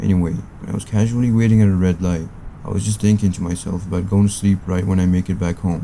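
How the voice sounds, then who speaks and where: Over noticeable background noise, a man talks at a very fast pace in a very deep, low pitch with ordinary pitch variation. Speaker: horror story narrator. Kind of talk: scary story narration.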